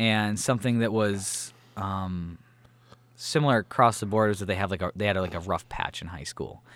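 A man with an American accent talks at a moderate pace, fairly low in pitch with ordinary pitch variation. The recording is very clean with a silent background, and his is an ordinary speaking voice. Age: 20s. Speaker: podcast co-host and producer. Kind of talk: casual chat.

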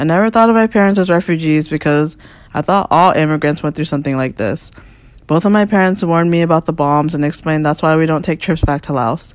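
A woman with an American accent, fairly low-pitched, very fast, with ordinary pitch variation, on a very clean recording with a silent background. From US, Northern Virginia. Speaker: visual artist. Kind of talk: reading aloud.

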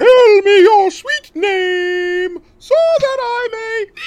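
An extremely high-pitched, put-on character voice speaks at a very slow pace. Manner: menacing.

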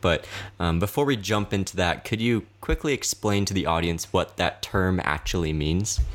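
A man with an American accent and an unremarkable speaking voice, fairly low in pitch, with lively intonation, in a very clean recording with a silent background. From US South. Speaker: podcast host. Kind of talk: interview.

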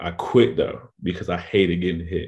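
This man has a very deep, low pitch and an American accent, and he speaks at a moderate pace. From North Carolina, Raleigh-Durham area. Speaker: college football player. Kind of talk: casual interview.

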